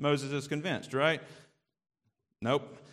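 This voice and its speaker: A man with a Southern US accent talks at a very fast pace in a fairly high pitch. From US South. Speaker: preacher. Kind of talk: sermon.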